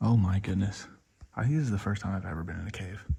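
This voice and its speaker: A man with a fairly low pitch talks at a fairly quick pace, his voice somewhat breathy and his pitch variation ordinary. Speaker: wildlife vlogger, herper. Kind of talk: outdoor vlog narration. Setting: outdoors, inside a cave. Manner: whispering in the cave; casual, with fillers.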